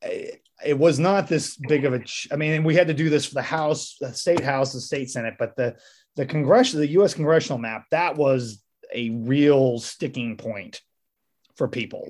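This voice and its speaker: A man with an American accent speaks in a plain, everyday voice at a fairly high pitch. His pace is moderate, his pitch variation ordinary, and his loudness swings widely. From rural Missouri. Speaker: podcast host. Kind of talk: casual interview.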